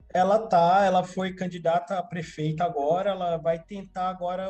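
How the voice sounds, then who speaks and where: Against noticeable background noise, a man with a high-pitched voice speaks at a moderate pace with fairly even intonation. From São Paulo, Capão Redondo (South Zone). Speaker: community activist. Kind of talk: casual chat. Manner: halting, repeats words.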